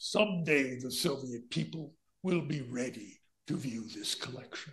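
A put-on character voice at a moderate pace. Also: man, medium pitch for a man. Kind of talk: stentorian, authoritative. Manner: pompous, commanding.

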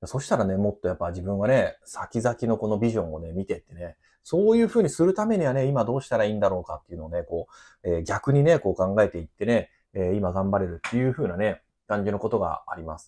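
A man's fairly low, dark and mellow voice at a very fast pace, with lively intonation and big swings in loudness against a quiet background. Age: 30s. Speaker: gardener and company owner. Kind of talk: casual monologue. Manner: filler-heavy, relaxed. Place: office.

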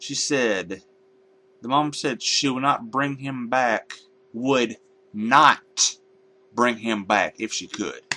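A man with a bright, sharp tone speaks very slowly, with long, frequent pauses. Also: ordinary pitch variation. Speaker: video blogger giving a rant. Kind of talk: angry rant. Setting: home computer, solo video. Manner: indignant, sarcastic and blunt, with rising anger; rambling, informal, hesitant with fillers. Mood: indignant, ranting. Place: home room. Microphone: headset.

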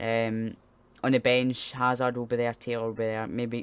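Speaking in a Scottish accent, a man delivers his words at a moderate pace with monotone, flat intonation. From Scotland. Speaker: football fan streamer. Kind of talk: live watch-along commentary. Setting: live stream. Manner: halting. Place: home room. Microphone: studio mic.

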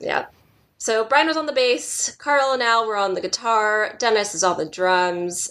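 Bright and sharp in tone, a woman uses lively intonation in an American accent. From Southern California. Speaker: podcast co-host. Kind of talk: casual chat. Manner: animated, laughs often.

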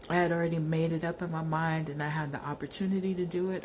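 Talking at a fairly quick pace with a fairly low pitch, a woman is heard over light background noise. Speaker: vlogger. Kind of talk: casual vlog chat. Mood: venting about an ex. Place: home room. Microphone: phone near.

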